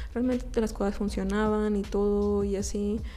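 With an audible room echo, a woman speaks in a Mexican accent. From Mexico. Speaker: podcaster. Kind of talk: casual monologue.

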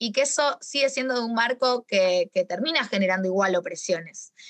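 Heard in a dry, close sound with no echo, a woman at a fairly high pitch speaks at a moderate pace with ordinary pitch variation. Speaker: astrologer and talk host. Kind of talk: casual chat. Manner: hesitant, many fillers.

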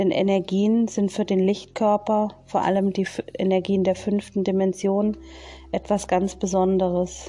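A woman talks at a fairly slow pace in a medium pitch, her intonation monotone and flat. Her tone is dark and mellow, and her loudness stays very even. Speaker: spiritual medium. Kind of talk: casual monologue; channeling meditation.

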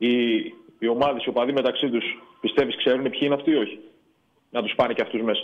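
Speaking at a very fast pace yet with long, frequent pauses, a man keeps a medium pitch and fairly even intonation. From Thessaloniki, northern Greece. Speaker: caller. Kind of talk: casual chat. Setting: phone call. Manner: halting.

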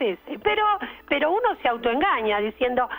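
A woman with a Rioplatense accent, high pitch and very wide pitch swings over noticeable background noise. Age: 50s. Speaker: caller. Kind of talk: radio call-in chat.

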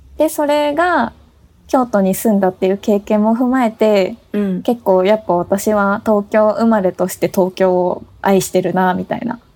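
Here a woman talks at a fairly slow pace in a dark, mellow tone. Her pitch is medium, with ordinary variation. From Tokyo, Japan. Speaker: podcast co-host. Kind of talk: casual chat; scripted announcement.

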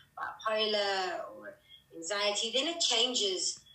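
A woman amid audible room echo. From South Africa. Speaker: mental health advocate. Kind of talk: interview. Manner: hesitant, many fillers.

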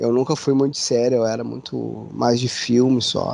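The background is quiet as a man speaks at medium pitch. His delivery is monotone and flat at a fairly slow pace. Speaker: podcast host. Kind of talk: casual chat.

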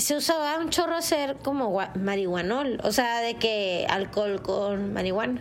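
Fairly slow delivery with hardly any pauses and very wide pitch swings. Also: woman, fairly high pitch for a woman. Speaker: podcast co-host. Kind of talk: casual chat.

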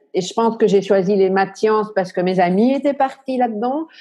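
A woman talks at a medium pitch with a dark, mellow tone. Her pitch varies in an ordinary way. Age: 50s. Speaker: coach and speaker on high potential. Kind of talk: interview testimony. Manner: hesitant, many fillers.

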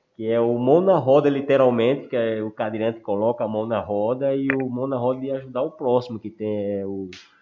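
An ordinary speaking voice, a man at medium pitch with ordinary pitch variation, fairly quick and with hardly any pauses. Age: 40s. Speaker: wheelchair athlete, sports project co-founder. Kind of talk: casual chat.

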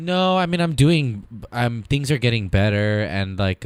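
A man is speaking here. His pace is fairly slow. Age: 30s. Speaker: podcast guest. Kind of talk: casual chat. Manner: halting.

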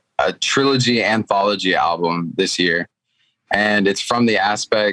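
A man talks in a plain, everyday voice with an American accent. His pitch is fairly low and varies in an ordinary way. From Fort Worth, Texas. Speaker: rapper and recording artist. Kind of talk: casual interview chat.

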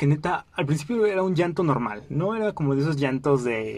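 A man speaks at a very fast pace with an animated tone. He has a Mexican accent. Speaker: podcast host. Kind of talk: casual monologue.

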